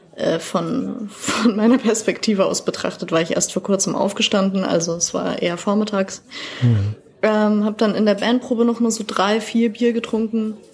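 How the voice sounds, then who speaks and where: A woman's fairly high voice at a moderate pace, fairly even intonation, noticeable background noise. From Bavaria, Germany. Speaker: poetry slammer. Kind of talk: podcast interview. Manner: talkative.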